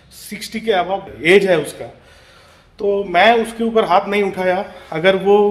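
A man's high-pitched voice in a monotone, flat intonation. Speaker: vlogger. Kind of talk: casual vlog chat. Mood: recounting a street quarrel, agitated. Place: home room. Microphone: phone near.

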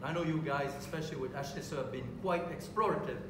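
Noticeable background noise and audible room echo surround the speaker. He is a man with a high pitch. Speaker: panel expert. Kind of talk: panel debate. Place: hall. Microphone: camera far.

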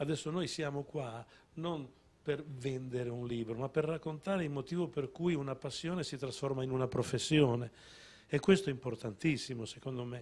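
The pace is moderate. A man talks with ordinary ups and downs in pitch. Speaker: songwriter; guest. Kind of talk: casual chat. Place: studio. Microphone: handheld.

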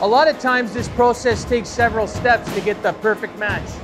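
Clear music can be heard behind the voice. The talking proceeds at a moderate pace. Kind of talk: guided tour explanation. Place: workshop.

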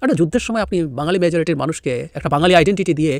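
A man with a high voice and lively intonation, on a very clean recording with a silent background. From Bangladesh, Rangamati hill district. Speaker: political commentator. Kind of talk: political commentary video.

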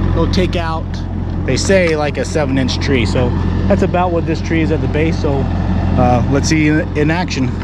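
Loud background noise accompanies a man talking at a moderate pace in a dry sound with no echo. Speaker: channel host. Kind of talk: casual vlog chat. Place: open country. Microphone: phone near.

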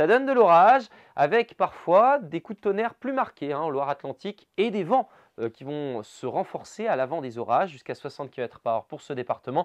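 A man speaks in an upbeat, enthusiastic tone at a high pitch with very wide pitch swings. His loudness swings a lot, and the background is quiet. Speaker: weather presenter. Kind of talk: regional TV-style weather bulletin, brisk forecast narration over maps. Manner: upbeat, enthusiastic and conversational, with casual 'hein' asides; fluent brisk delivery listing towns and temperatures in quick succession. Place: studio. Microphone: lapel.

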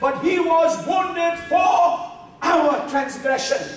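A man talks slowly at an extremely high pitch with ordinary pitch variation, heard in strong room echo.

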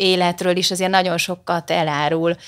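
A woman's monotone, flat intonation comes through over a quiet background. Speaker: marketing director; guest. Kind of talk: casual chat. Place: studio. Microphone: studio mic.

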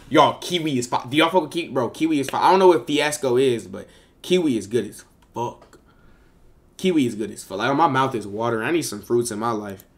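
Speaking at a very fast pace, a man sounds animated, with lively intonation and big swings in loudness. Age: 20s. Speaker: live streamer. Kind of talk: casual live stream chat reacting to viewers. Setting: live stream on camera. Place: home room.

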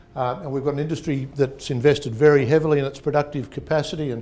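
Speech moves at a very fast pace against light background noise. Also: man. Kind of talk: seminar presentation. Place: meeting room. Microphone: lapel.

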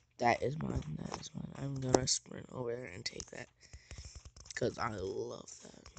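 Big swings in loudness at a moderate pace, with noticeable background noise. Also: man. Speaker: beginner gaming YouTuber. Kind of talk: let's play gameplay commentary. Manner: drowsy, rambling.

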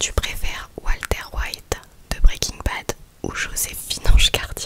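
A soft-spoken woman whispers at a very slow pace over loud background noise. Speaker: ASMR creator. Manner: soft close-mic ASMR whisper. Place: home room. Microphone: studio mic.

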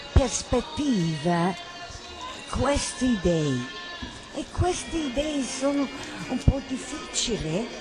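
A woman's high voice with very wide pitch swings, at a very slow pace with long, frequent pauses, and music in the background. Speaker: theatre director. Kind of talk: spoken manifesto narration.

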